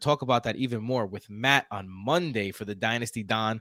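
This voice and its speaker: A man with a strong Queens accent speaks in an animated tone at a medium pitch, his tone bright and sharp. The very clean recording has a silent background and a dry, close sound with no echo. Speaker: podcast host. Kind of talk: casual chat.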